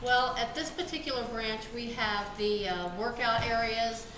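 A woman talks at a moderate pace while loud background noise carries on around her. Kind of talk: interview answer. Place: office.

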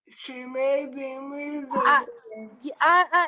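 A high-pitched woman's voice with an American accent and ordinary pitch variation. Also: quiet background. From US South. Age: 40s. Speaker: panelist. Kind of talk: panel discussion. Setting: video call. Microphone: video call.

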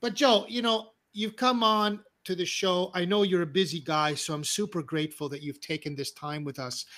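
Lively intonation marks a man's speech at a moderate pace. The background is quiet. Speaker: show host, coach. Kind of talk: casual livestream interview. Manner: animated. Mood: warm, laughing, casual. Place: home room. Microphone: studio mic.

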